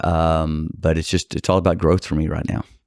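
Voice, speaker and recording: Recorded very cleanly over a silent background, a man with a Texas accent sounds dry and close, with no echo. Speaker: personal injury attorney. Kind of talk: podcast interview. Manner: halting.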